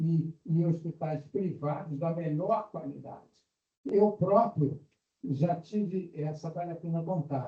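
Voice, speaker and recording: Speaking at a very slow pace, a man has a high pitch and ordinary pitch variation. His tone is dark and mellow. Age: 80s+. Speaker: retired physician, audience member. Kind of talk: audience comment in Q&A.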